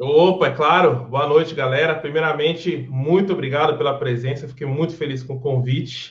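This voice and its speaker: At a moderate pace, a man speaks with a fairly high, somewhat breathy voice and fairly even intonation. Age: 30s. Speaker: guitarist. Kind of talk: casual chat.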